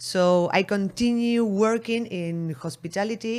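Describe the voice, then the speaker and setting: A woman speaks with an Argentine accent and lively intonation. The recording is very clean, with a silent background. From Argentina. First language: Spanish. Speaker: beverage marketing entrepreneur. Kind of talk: interview. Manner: halting.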